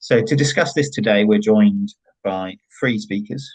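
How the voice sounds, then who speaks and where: A man talks with ordinary pitch variation. He has a West Country accent. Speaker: online event moderator. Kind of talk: event introduction. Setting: online forum.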